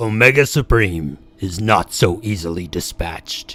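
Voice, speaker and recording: A put-on character voice moves at a moderate pace with music playing in the background. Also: man, fairly low pitch for a man. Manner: dramatic narrator.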